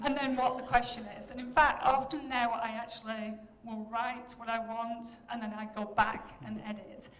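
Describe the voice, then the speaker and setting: A woman at a moderate pace and a fairly high pitch, with noticeable background noise and audible room echo. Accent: Yorkshire. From Yorkshire, northern England. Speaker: professor. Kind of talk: keynote lecture. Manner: animated.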